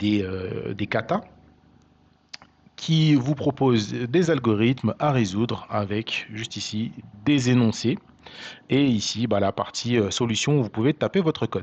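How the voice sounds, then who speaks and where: At a fairly slow pace and medium pitch, a man talks with ordinary pitch variation and long, frequent pauses. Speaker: programming tutor. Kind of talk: tutorial. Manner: hesitant, many fillers.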